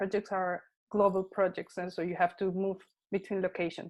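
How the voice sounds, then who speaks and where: With a Spanish accent, a woman speaks at a medium pitch and a fairly quick pace. The background is quiet. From Colombia and Panama. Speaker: technology consultant and content creator. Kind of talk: interview. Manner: halting, with fillers.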